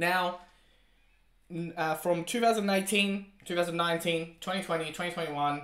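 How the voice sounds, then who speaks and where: Someone male speaks at a moderate pace with a high pitch. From Italy, moved to Australia 1998. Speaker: crypto commentator. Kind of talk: casual video commentary.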